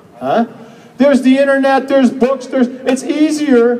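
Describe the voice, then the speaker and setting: An animated man at a fairly quick pace, over noticeable background noise. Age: 60s. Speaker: health seminar speaker. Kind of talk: seminar talk.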